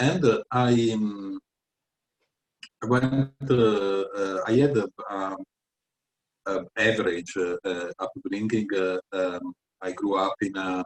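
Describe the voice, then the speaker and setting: A man with an Italian accent talks at a very slow pace, with long, frequent pauses and a fairly low pitch that varies an ordinary amount. The sound is dry and close, with no echo. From Italy, Venice. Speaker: tutor and writer. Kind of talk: interview. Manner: halting, many fillers.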